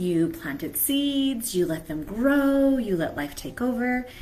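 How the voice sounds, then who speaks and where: In a room with audible echo, a somewhat breathy woman speaks at a fairly slow pace with very wide pitch swings. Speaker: mentor. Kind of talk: live stream talk.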